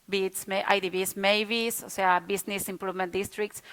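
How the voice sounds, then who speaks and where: A woman with a Spanish accent speaks at a medium pitch and a moderate pace in a very clean recording with a silent background. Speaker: city official presenting an urban renewal project. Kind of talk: conference presentation. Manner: halting, with frequent hesitations and repetitions.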